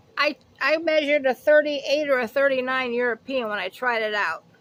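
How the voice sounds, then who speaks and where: With a raised, projected voice, a woman speaks at a fairly slow pace in a high pitch, her tone bright and sharp, with ordinary pitch variation. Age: 50s. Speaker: haul video vlogger. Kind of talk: casual product haul chat. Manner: rambling, self-correcting.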